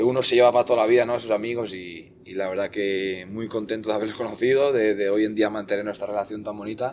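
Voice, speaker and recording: Fairly low-pitched male speech, fairly quick, its intonation fairly even. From Basque Country, Spain (Eibar); born in northern Portugal. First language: Portuguese (speaking Spanish). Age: 20s. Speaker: futsal goalkeeper. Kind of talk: podcast interview.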